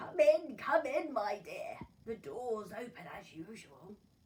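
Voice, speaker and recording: A woman puts on a creaky, high-pitched character voice with very wide pitch swings. She talks at a fairly slow pace, and her loudness swings a lot. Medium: read story.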